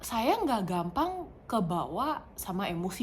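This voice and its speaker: Over noticeable background noise and audible room echo, a woman with a non-native accent talks at a medium pitch with lively intonation. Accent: non-native Indonesian, stiff. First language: not Indonesian; English more fluent (speaking Indonesian). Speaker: vlogger. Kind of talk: casual personal vlog. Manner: halting, many fillers.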